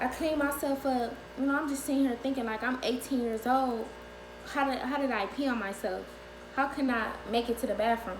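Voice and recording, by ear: A woman speaks at a fairly quick pace in a high pitch, her pitch varying in an ordinary way.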